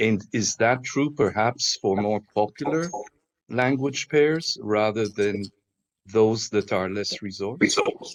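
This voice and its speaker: With an Israeli accent, a man speaks at a medium pitch with ordinary pitch variation. His pace is very slow, and the sound is dry and close with no echo. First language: Hebrew. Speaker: panelist. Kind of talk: panel discussion.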